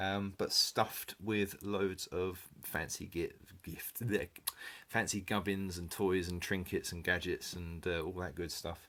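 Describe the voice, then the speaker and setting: Speaking in an English accent at a fairly slow pace, a man with a very deep, low pitch keeps a monotone, flat intonation and a bright, sharp tone. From England. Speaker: car enthusiast vlogger. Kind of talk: casual review. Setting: spare bedroom at home. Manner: hesitant, many fillers.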